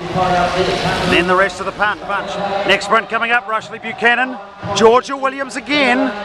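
A man projects a raised voice at a high pitch and a moderate pace, with ordinary pitch variation. Noticeable background noise sits behind him. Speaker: track cycling commentator. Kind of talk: live race commentary. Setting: velodrome, race broadcast. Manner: animated, punchy call of sprints. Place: stadium.

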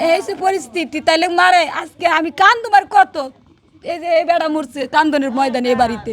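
Over noticeable background noise, a woman speaks at an extremely high pitch. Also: lively intonation. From Bangladesh, Noakhali (Hatiya). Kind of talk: emotional personal testimony.

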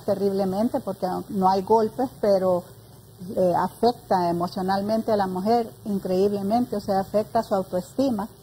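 The voice is somewhat breathy with a dark, mellow tone, fairly even intonation and a moderate pace, over light background noise. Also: woman. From Honduras. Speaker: director of a women's services program; guest. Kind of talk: panel discussion. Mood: earnest, engaged. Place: studio. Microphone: lapel.

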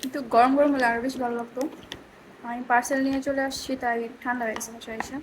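Over noticeable background noise, a woman speaks in a high pitch with flat, monotone intonation. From Bangladesh. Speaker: vlogger. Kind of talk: vlog voice-over. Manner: stuttering in this voice-over; playful, giggling.

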